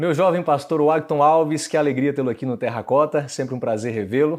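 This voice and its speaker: An unremarkable speaking voice from a man, fairly high in pitch, with ordinary pitch variation and a fairly quick pace, over a quiet background. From Brazil, same hometown as guest. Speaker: interview host. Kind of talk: interview.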